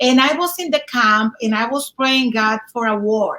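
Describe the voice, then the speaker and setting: Delivered at a moderate pace with ordinary pitch variation, the speech comes in a Dominican accent. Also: woman. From Dominican Republic. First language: Spanish. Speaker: speaker mentorship student. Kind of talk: interview. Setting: live video stream. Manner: halting.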